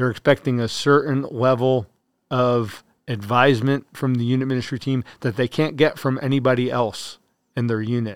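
A man's normal speaking voice with an American accent, medium-pitched and at a moderate pace, with fairly even intonation. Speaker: army chaplain. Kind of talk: interview.

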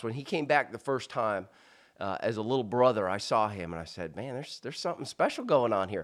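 In a plain, everyday voice, a man talks fairly quickly at medium pitch with lively intonation on a very clean recording with a silent background. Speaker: leadership speaker and retired military officer. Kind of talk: casual interview. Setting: in a house.

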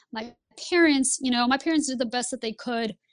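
A woman with a Lithuanian accent, in a very clean recording over a silent background. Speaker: Air Force pilot and flight instructor. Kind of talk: interview.

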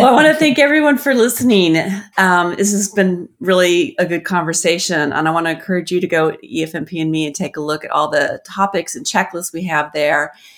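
A woman talks at a fairly quick pace in a normal speaking voice, with a fairly low pitch and lively intonation. The recording is very clean, with a silent background. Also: hardly any pauses. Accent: American. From US Southwest. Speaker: podcast host, government program analyst. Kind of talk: conversational interview.

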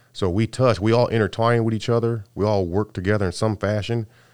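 A man with an American accent at a fairly quick pace, on a very clean recording with a silent background. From California. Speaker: Army master sergeant. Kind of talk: interview.

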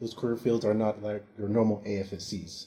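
A man's dark, mellow tone with a Californian accent. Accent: general American, Californian. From US West Coast, San Francisco Bay Area. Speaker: military recruiter. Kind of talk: interview.

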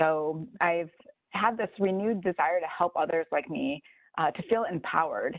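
Speaking with an American accent and an ordinary speaking voice, a woman keeps a moderate pace and ordinary pitch variation. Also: fairly low pitch for a woman. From Chicago. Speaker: planner. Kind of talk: podcast interview.

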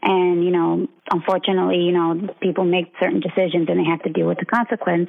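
In an American accent, a woman talks with an ordinary speaking voice, a fairly low pitch, and very even loudness. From Philadelphia, Pennsylvania. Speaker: navy legalman, chief. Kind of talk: casual interview.

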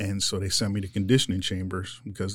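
The recording is very clean, with a silent background. A man speaks at a moderate pace in a fairly low pitch. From Philadelphia, US. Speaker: weapons operator, Marine veteran. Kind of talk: interview. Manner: casual, halting.

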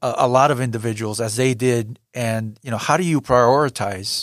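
This man has a plain, everyday voice at a medium pitch, with ordinary pitch variation and a moderate pace, on a very clean recording with a silent background. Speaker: podcast host and editor. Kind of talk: interview.

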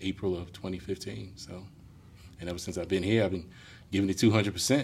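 Somewhat breathy and very deep in pitch, a man with an American accent talks at a very fast pace with ordinary pitch variation. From New York. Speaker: firefighter and fire inspector. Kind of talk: casual interview.

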